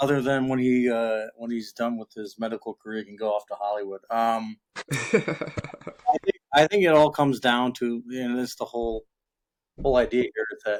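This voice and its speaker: A man talks in a normal speaking voice at medium pitch and a moderate pace, with fairly even intonation and big swings in loudness. The sound is dry and close, with no echo. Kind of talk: interview answer.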